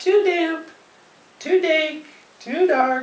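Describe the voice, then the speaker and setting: Putting on a character voice, a woman sounds squeaky at an extremely high pitch. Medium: read story.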